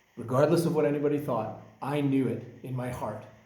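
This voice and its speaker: A man's animated tone with a Canadian accent, with audible room echo. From British Columbia, Canada. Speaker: environmental activist. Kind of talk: personal monologue.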